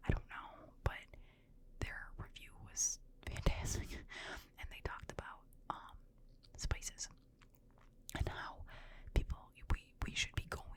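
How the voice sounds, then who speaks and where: Fairly slow whispering from a woman, with noticeable noise in the background. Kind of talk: ASMR whisper ramble. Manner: whispered.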